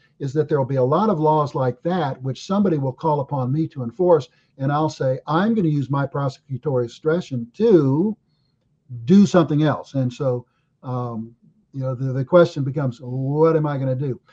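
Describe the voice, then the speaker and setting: A man with an American accent, a fairly high pitch and a dark, mellow, somewhat breathy tone, at a fairly quick pace with ordinary pitch variation, in a dry, close sound with no echo. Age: 70s. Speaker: attorney and political candidate. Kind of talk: casual interview.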